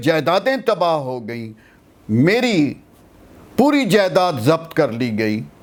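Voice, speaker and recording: Very wide pitch swings in a high male voice. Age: 70s. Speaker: veteran political activist, advocate. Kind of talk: interview answer. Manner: encouraging tone.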